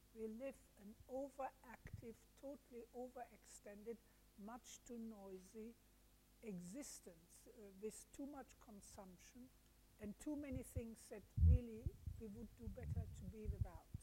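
A woman's somewhat breathy, dark, mellow voice at a fairly slow pace, with ordinary pitch variation and big swings in loudness. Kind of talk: interview. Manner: halting.

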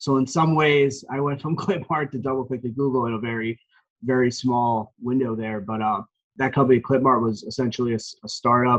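A man with an American accent speaks in a normal speaking voice at a medium pitch. His pace is fairly quick and his intonation fairly even. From New Jersey, Morris County. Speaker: sports team marketing executive. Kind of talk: interview.

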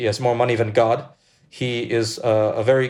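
With an American accent, a man uses an ordinary speaking voice at medium pitch, with ordinary pitch variation and a moderate pace. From US, New York City (Brooklyn, Russian diaspora). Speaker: journalist and editor. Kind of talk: interview.

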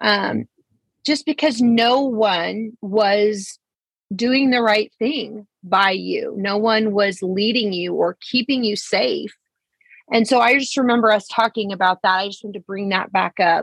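Speaking at a fairly slow pace, a woman with an unremarkable speaking voice uses a fairly high pitch and ordinary pitch variation, the sound dry and close with no echo. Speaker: podcast host. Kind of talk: casual interview.

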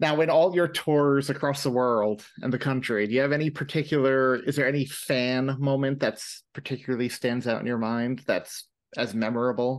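A man talks in an ordinary speaking voice at medium pitch with an American accent, keeping a moderate pace. His intonation stays fairly even, with hardly any pauses. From New York. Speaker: podcast host. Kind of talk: casual interview chat.

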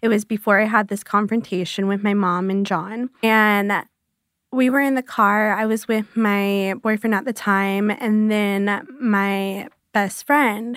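This woman speaks at a fairly slow pace with a fairly high pitch and fairly even intonation. The recording is very clean, with a silent background. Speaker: abuse survivor. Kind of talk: personal testimony. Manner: soft-spoken.

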